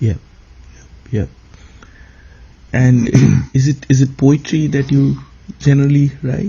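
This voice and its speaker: A man talks at a fairly slow pace, leaving long, frequent pauses. His voice is somewhat breathy, with fairly even intonation. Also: fairly high pitch for a man. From eastern India. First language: an eastern Indian language. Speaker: podcast host. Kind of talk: interview conversation. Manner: hesitant, many fillers.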